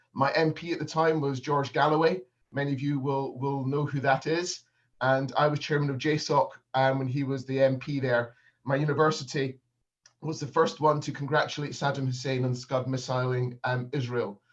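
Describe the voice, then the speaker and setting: A man's somewhat breathy, fairly high-pitched voice in a Northern Scottish accent, with monotone, flat intonation at a moderate pace. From Scotland, Edinburgh. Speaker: business consultant. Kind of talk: keynote speech. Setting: video call. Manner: hesitant, many fillers.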